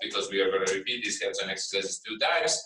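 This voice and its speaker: With a non-native accent, a man is talking. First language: not English. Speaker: university lecturer in solar physics. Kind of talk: lecture. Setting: classroom, hybrid with remote students. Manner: halting, many fillers and repetitions.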